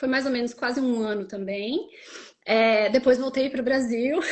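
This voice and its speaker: Speaking with a Rio Grande do Sul accent, a woman talks at a high pitch and a moderate pace. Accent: southern Brazilian (gaúcho-sounding). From southern Brazil, Santa Catarina. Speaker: Brazilian expat content creator. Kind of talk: casual interview chat.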